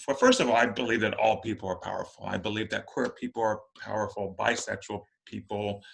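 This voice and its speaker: A man speaks at a very fast pace against a quiet background. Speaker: podcast host and occult teacher. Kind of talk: casual panel discussion. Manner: halting.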